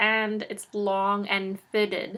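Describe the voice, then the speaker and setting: This woman's voice sits at a medium pitch and has a bright, sharp tone. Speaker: DIY fashion YouTuber. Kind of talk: tutorial. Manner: casual, chatty.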